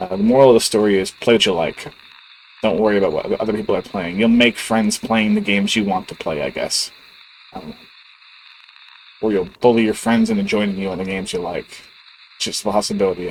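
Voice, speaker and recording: A quiet man speaking at a very fast pace, with long, frequent pauses and noticeable background noise. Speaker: gaming YouTuber. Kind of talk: casual channel update monologue. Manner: quiet, low-key; casual, hesitant with filler words.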